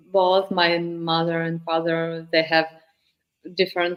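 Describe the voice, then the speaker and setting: A woman with a Ukrainian accent, fairly low in pitch, at a very slow pace. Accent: Russian-speaking Ukrainian accent in English. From Ukraine, Kyiv. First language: Russian. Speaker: singer-songwriter and vocal coach. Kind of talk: interview. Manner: halting.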